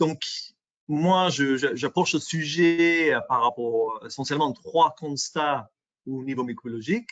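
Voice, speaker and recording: A man with an English accent talks at a fairly slow pace, his pitch fairly high. His pitch moves in an ordinary way. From England. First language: English (speaking French). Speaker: microbiology industry specialist presenter. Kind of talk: webinar presentation. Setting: online webinar. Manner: halting, many fillers and repetitions.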